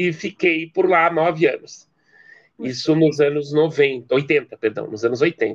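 A man's fairly high voice at a fairly slow pace, with ordinary pitch variation and a dry, close sound with no echo. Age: 50s. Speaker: anthropology professor. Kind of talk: interview. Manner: hesitant with repetitions.

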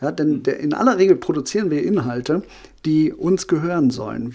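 Using lively intonation and a dark, mellow tone, a man with a fairly high pitch talks at a moderate pace. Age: 40s. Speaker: social media marketing consultant. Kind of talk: podcast interview.

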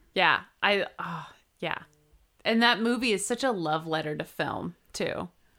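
A woman's medium-pitched voice in an American accent, bright and sharp in tone with vocal fry, lively intonation and an animated tone, at a fairly slow pace on a very clean recording with a silent background. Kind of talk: casual chat.

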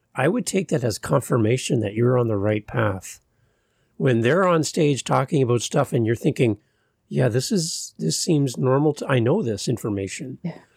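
A man with a Canadian accent talks at a moderate pace and a medium pitch, his intonation lively and touched with vocal fry. The recording is very clean, with a silent background. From Canada. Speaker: podcast host. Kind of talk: casual interview chat.

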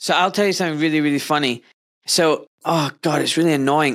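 A man is speaking. His intonation stays fairly even. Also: fairly bright tone.

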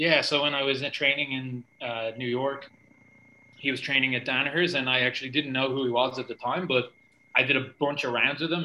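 A man speaks at a medium pitch with a Dublin accent. His tone is bright and sharp, and his intonation stays fairly even. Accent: Irish (Dublin). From Ireland. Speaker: jiu-jitsu coach and athlete. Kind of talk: casual interview.

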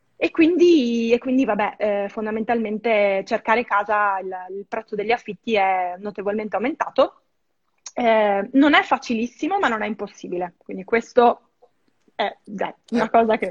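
Woman with a fairly high pitch, ordinary pitch variation and big swings in loudness. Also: dry, close sound with no echo. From northern Italy, Verona. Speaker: expat guest, film restorer. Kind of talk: casual interview. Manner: fast, hesitant with fillers.

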